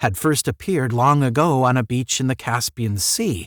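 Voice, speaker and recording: Here is a man with an ordinary speaking voice at medium pitch. His pace is moderate and his pitch variation ordinary. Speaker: audiobook narrator. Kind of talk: unedited story read-aloud with commentary.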